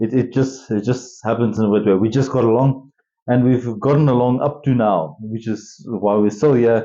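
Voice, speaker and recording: In a South African accent, a man speaks at a medium pitch and a moderate pace with fairly even intonation. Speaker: podcast co-host. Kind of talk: casual chat.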